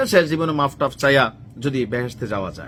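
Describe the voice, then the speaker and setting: Speaking in an ordinary speaking voice, a man keeps a medium pitch with ordinary pitch variation. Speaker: political commentary vlogger. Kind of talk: political commentary monologue. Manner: casual conversational.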